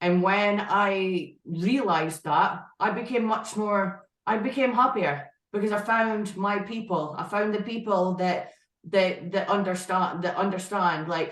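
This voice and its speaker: With a strong northeast Scottish accent, a woman speaks fairly slowly at a medium pitch, ordinary pitch variation and very even loudness, with audible room echo. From Scotland, northeast (Aberdeen area). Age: 20s. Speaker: IFBB pro bodybuilder. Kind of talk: podcast interview.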